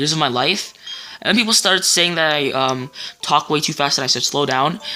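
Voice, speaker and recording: The speech moves at a fairly quick pace while music plays in the background. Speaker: let's play gamer. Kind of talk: gameplay commentary. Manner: fast; stuttering.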